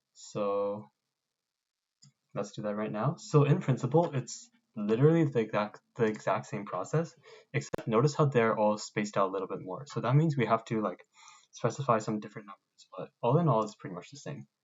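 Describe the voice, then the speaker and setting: At a fairly quick pace, a man with medium pitch speaks with big swings in loudness. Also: lively intonation. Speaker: robotics club instructor. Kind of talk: tutorial. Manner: fast; casual.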